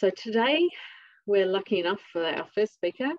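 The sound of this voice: A woman with an Australian accent is heard in a dry, close sound with no echo.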